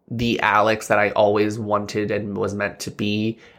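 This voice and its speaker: A man with an American accent speaks in a fairly low, bright, sharp voice at a fairly slow pace. His intonation is monotone and flat, on a very clean recording with a silent background. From central Pennsylvania. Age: 30s. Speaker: podcast co-host. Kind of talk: casual chat.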